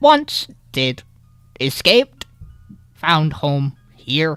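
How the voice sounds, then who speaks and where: A put-on character voice sits at a middle pitch. The delivery is very slow. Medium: actual play. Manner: terse, clipped, robotic fragments.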